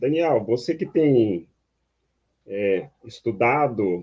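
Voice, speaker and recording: With lively intonation, a man's medium-pitched voice comes through. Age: 60s. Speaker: online talk host, researcher. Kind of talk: panel discussion.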